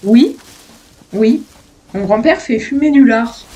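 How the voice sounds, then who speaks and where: This woman has a fairly high pitch. She speaks at a fairly slow pace. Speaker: gaming youtuber. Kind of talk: casual let's play commentary. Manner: animated.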